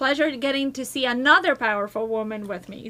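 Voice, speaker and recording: High-pitched woman's voice, moderately paced, pitch varying in an ordinary way. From Brazil. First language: Portuguese. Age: 40s. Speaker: community leadership nonprofit founder. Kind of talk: podcast interview. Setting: studio.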